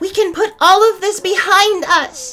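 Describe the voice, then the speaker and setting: A squeaky, extremely high put-on character voice speaks at a moderate pace, with faint music in the background. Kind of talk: elevated, formal diction. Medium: audio drama. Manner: formal, measured.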